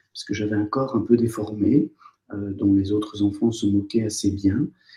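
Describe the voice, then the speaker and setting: A man talks in a fairly low pitch with a dark, mellow tone and a somewhat breathy sound. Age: 60s. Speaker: former surgeon turned psychotherapist. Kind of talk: interview. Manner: hesitant, many fillers.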